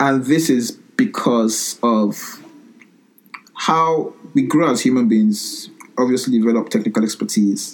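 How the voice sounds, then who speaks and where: Noticeable background noise sits behind a man talking at a fairly slow pace. His loudness stays very even, with ordinary pitch variation. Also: medium pitch for a man. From Nigeria. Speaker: engineer and startup founder. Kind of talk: interview.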